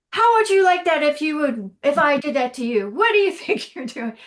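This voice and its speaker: A woman's put-on character voice, high-pitched, with very wide pitch swings at a moderate pace. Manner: stern, scolding.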